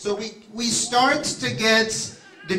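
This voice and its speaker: A man's raised, projected voice comes through noticeable background noise and audible room echo. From France. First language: French. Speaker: rabbi. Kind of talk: seminar talk.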